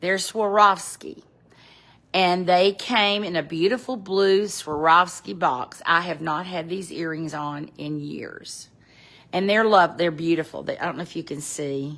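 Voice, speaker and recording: In a Southern US accent, a woman with a fairly low voice speaks at a fairly slow pace with ordinary pitch variation, big swings in loudness and long, frequent pauses. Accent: Southern American. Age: 70s. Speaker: fashion vlogger. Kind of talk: casual chat. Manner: casual, halting.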